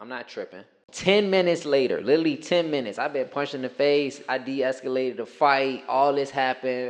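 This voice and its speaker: Talking at a fairly quick pace with hardly any pauses, a man with an American accent uses a fairly high pitch, ordinary pitch variation and big swings in loudness. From Richmond, Virginia, US South. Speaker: former teacher. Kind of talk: casual podcast chat, storytelling.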